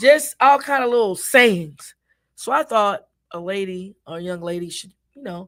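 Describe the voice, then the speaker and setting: Her loudness swinging widely, a woman with an unremarkable speaking voice and an American accent speaks at a moderate pace and medium pitch with lively intonation, recorded very cleanly against a silent background. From US Midwest (Minneapolis, Minnesota). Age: 60s. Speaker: gospel singer and cooking show host. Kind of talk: interview.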